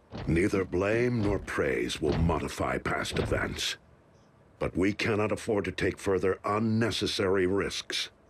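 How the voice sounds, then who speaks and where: A man puts on a cartoonish character voice and speaks at a fairly slow pace. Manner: calm, measured, grave.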